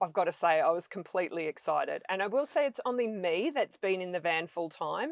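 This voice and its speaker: A woman with an Australian accent, medium in pitch, with lively intonation at a fairly quick pace and hardly any pauses. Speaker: van-life traveler. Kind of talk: podcast interview.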